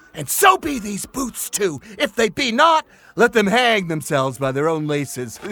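A man projects a raised voice at a high pitch, with very wide pitch swings and a bright, sharp tone. His pace is moderate, and the sound is dry and close with no echo. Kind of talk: audio drama, Shakespeare verse. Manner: boisterous, gruff, drunken, blustering.

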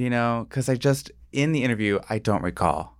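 With an American accent and a plain, everyday voice, a man speaks at a medium pitch on a very clean recording with a silent background. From small-town Ohio. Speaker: TV production worker. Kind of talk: casual chat. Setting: studio.

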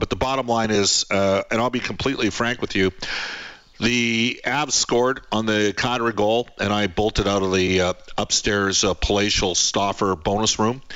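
With an unremarkable speaking voice, a man talks at a moderate pace in a fairly low pitch, his loudness very even and his intonation fairly even. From Canada. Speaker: sports radio host. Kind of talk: sports talk radio. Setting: home office.

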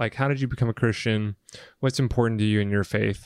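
An unremarkable speaking voice with an American accent moves along at a fairly quick pace. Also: man, very clean recording, silent background. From rural US South. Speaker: host's fiancé, guest. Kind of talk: casual chat. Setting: studio, video podcast.

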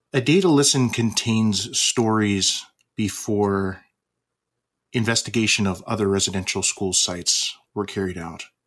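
With a Canadian accent, a man speaks in a plain, everyday voice, fairly low in pitch, with ordinary pitch variation at a fairly slow pace. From Canada. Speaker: physician. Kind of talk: prepared address.

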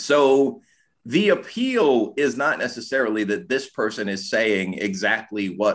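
It is a plain, everyday voice at a fairly slow pace. Ordinary pitch variation comes through on a very clean recording with a silent background. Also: man. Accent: American. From US Midwest, Chicago. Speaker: political science professor. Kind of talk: podcast interview discussion.

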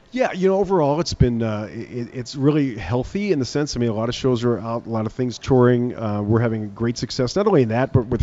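Over noticeable background noise, a man with an American accent talks at a very fast pace in a medium pitch. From United States. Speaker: arena general manager. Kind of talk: radio interview. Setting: on location remote broadcast.

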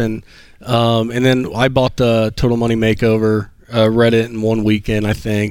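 A man's medium-pitched voice at a moderate pace. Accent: Southern US. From Alabama, US South. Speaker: guest who paid off debt. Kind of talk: interview. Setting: studio lobby stage.

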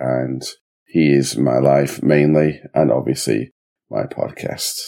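The voice has a dark, mellow tone and an English accent and moves at a fairly slow pace. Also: man. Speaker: podcast host, former customer service manager. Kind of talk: casual chat.

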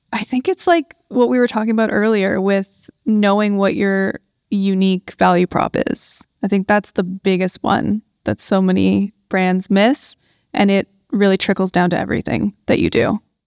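With a Canadian accent, a woman speaks in an ordinary speaking voice at medium pitch and a moderate pace, with ordinary pitch variation and very even loudness. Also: dry, close sound with no echo. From Canada. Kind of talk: live panel interview. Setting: stage with audience.

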